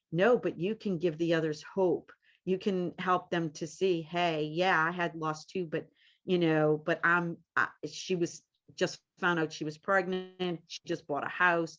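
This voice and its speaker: Speaking at a fairly slow pace, a woman with a fairly low voice and a slight New Orleans accent keeps a monotone, flat intonation. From US South, New Orleans. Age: 50s. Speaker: medium and grief group leader. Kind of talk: interview.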